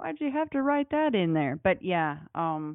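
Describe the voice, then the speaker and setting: In an American accent, a woman speaks at a fairly low pitch, her voice making very wide pitch swings. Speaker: podcast host. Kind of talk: casual chat.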